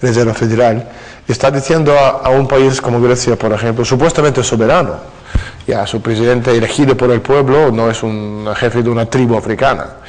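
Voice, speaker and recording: Speaking at a fairly quick pace with fairly even intonation, a man with a Russian accent is heard over noticeable background noise. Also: medium pitch for a man. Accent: Russian accent in fluent Spanish. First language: Russian (speaking Spanish). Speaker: author. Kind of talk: interview. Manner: hesitant fillers (eh, ah).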